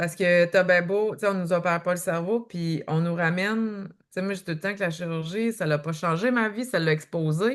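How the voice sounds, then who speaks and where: Here a woman with a Quebec accent speaks at a fairly slow pace. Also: quiet background. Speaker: author and eating-behaviour coach. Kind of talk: podcast interview.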